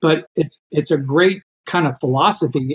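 A plain, everyday voice from a man, fairly high in pitch, with ordinary pitch variation. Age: 60s. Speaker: endurance athlete and coach. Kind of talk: interview.

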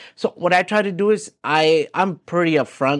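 Lively intonation marks this man's voice on a very clean recording with a silent background. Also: dry, close sound with no echo. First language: not English. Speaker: real estate agent. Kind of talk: casual interview. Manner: hesitant, many fillers and repeats.

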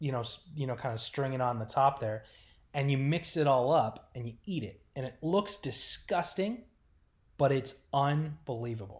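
A man's medium-pitched, somewhat breathy voice with ordinary pitch variation at a fairly slow pace, in a very clean recording with a silent background. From Rochester, New York, later Oklahoma City. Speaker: hockey team content manager. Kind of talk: casual chat.

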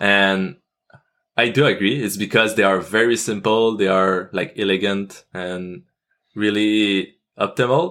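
A man's fairly low-pitched, bright and sharp voice in a Quebec French accent, at a fairly slow pace with ordinary pitch variation. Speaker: AI researcher and YouTuber. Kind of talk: interview. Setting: video call. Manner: halting.

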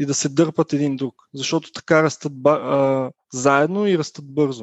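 The background is quiet. A man speaks in a fairly high, monotone, flat voice. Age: 20s. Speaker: software company founder. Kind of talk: interview. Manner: hesitant, many fillers.

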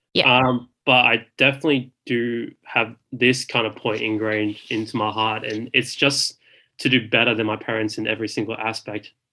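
A man speaks in an Australian accent at medium pitch and a moderate pace, with hardly any pauses. His tone is bright and sharp, his intonation monotone and flat. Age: 20s. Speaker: graduate lawyer. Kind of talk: casual interview chat.

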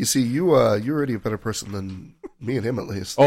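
Using a normal speaking voice, a man delivers his words fairly quickly, his pitch sitting in the middle range with ordinary pitch variation. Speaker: podcast guest.

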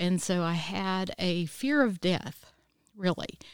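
The recording is dry and close, with no echo. A woman speaks with ordinary pitch variation. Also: very clean recording, silent background. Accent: South Carolina. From US South, Easley, South Carolina. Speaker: licensed professional counselor. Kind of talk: testimony.

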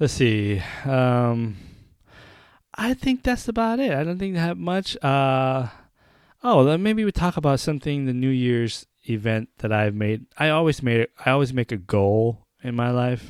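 A man speaks in a normal speaking voice at a medium pitch and a fairly slow pace. The recording is very clean, with a silent background. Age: 30s. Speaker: podcast host. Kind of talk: casual solo commentary.

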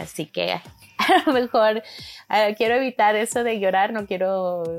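Music plays in the background. A woman talks over it at a moderate pace. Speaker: podcast co-host. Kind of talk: solo monologue, casual. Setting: home bedroom. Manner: halting, repeats words.

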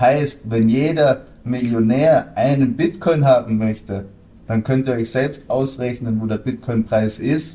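This man speaks at a very slow pace. His tone is dark and mellow. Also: ordinary pitch variation. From Austria. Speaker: crypto trader and analyst. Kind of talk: interview.

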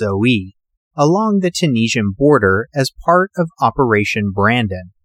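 In a very clean recording with a silent background and a dry, close sound with no echo, a man has an ordinary speaking voice at a medium pitch. He talks at a moderate pace with lively intonation. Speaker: podcast host. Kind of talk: history documentary narration. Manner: measured, steady storytelling delivery; formal, clear, informative.

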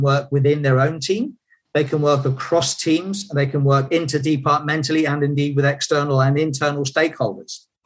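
With a somewhat breathy sound, a man at fairly high pitch talks at a moderate pace, keeping his intonation fairly even. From UK. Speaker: leadership and team performance consultant, author. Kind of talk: interview.

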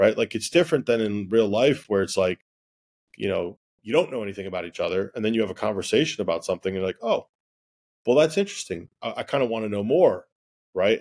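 Delivered at a very fast pace, a man's speech has a dry, close sound with no echo. The recording is very clean and the background silent. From Egyptian-Lebanese household. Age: 40s. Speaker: interviewee on dating. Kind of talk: casual chat.

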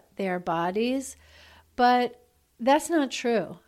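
With an American accent, a woman speaks at a very slow pace in a fairly high voice with ordinary pitch variation, on a very clean recording with a silent background. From New York. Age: 50s. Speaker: physician and relationship expert. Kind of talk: podcast interview.

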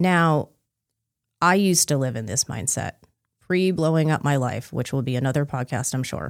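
In a very clean recording with a silent background, a woman speaks with a very deep, low pitch and lively intonation. Her pace is moderate, with long, frequent pauses. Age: 40s. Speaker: podcast host and life coach for Chinese medicine practitioners. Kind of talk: casual chat.

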